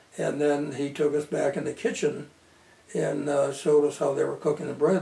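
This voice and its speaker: At a moderate pace, a man talks with an Upper Midwest accent. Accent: Upper Midwest American. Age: 80s+. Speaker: local historian. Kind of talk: oral history interview. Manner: halting.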